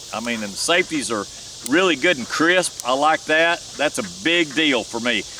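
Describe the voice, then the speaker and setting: The delivery moves at a moderate pace. There is noticeable background noise. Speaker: gun reviewer. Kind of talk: casual product review at shooting range. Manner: loud.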